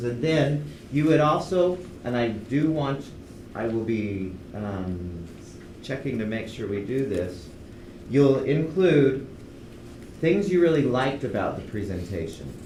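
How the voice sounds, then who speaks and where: Lively intonation marks a man's medium-pitched voice at a fairly slow pace. Audible room echo and noticeable background noise surround him. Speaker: university instructor. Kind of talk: lecture.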